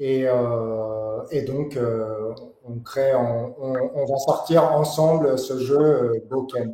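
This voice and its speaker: Audible room echo surrounds a man who speaks at a very slow pace with fairly even intonation. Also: medium pitch for a man. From Paris, France. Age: 40s. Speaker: board game designer and graphic artist. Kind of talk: interview. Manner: hesitant, many fillers.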